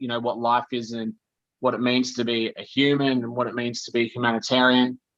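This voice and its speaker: A man with an Australian accent at medium pitch and a moderate pace. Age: 30s. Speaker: podcast guest. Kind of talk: casual chat. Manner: animated.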